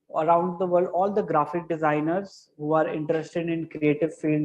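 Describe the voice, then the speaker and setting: Dark, mellow tone in an Indian accent, with monotone, flat intonation. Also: man. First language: Hindi. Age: 20s. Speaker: graphic designer. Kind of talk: interview. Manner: halting.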